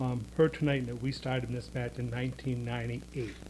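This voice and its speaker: A man speaks at a moderate pace. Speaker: resident speaking at public comment. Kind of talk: public comment at town board meeting. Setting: town board meeting, speaking at a microphone.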